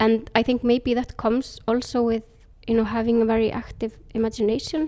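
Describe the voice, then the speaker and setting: A woman with a fairly high voice talks at a fairly quick pace. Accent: Icelandic. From Iceland. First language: Icelandic. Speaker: author. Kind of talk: interview.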